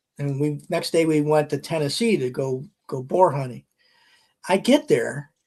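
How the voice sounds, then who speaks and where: A man's normal speaking voice, fairly high in pitch, with ordinary pitch variation at a moderate pace. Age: 60s. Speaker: retired army officer and author. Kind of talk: casual chat.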